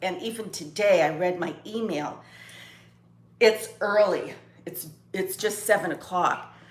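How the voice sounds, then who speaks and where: Over audible room echo, a woman speaks at a fairly slow pace with ordinary pitch variation. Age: 60s. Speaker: lifestyle vlogger. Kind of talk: casual chat. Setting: at home, live video. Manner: halting.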